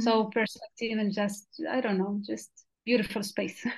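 A woman speaks at a fairly quick pace in a fairly high, somewhat breathy voice with flat, monotone intonation against a quiet background. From Western Sahara refugee camps. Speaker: journalist and community radio volunteer. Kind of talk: interview. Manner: halting, with repetitions.

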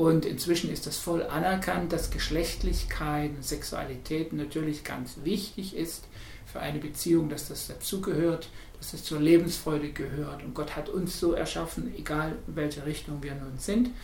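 Amid noticeable background noise and audible room echo, a man with a fairly high pitch speaks at a moderate pace, his intonation fairly even but his loudness swinging widely. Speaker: Protestant pastor. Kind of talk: interview.

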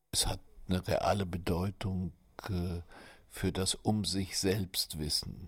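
In a very clean recording with a silent background, a man speaks very slowly in a very deep, low, somewhat breathy voice with monotone, flat intonation. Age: 70s. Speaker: writer. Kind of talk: interview testimony.

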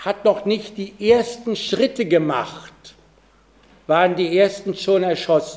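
A man with a high pitch speaks at a very slow pace. His pitch variation is ordinary, and he takes long, frequent pauses. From Pommern, Germany. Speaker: Holocaust survivor. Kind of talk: public talk.

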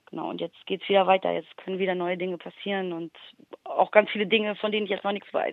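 A woman speaks very fast. Her intonation stays flat and monotone. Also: medium pitch for a woman. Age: 30s. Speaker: rapper and music producer. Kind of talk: interview.

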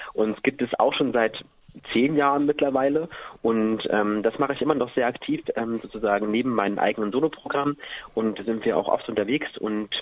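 A man talking at a fairly quick pace with ordinary pitch variation, over noticeable background noise. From eastern Germany, Halle an der Saale. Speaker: singer. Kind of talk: radio interview. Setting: phone call.

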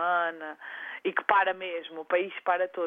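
Her voice is pitched in the medium range. The speaker is a woman. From Azores, São Miguel. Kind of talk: interview.

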